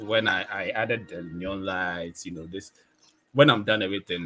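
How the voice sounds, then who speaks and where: A man talks at a fairly quick pace in a fairly low pitch. His intonation stays fairly even. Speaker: photographer and video creator. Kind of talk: casual chat. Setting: live stream.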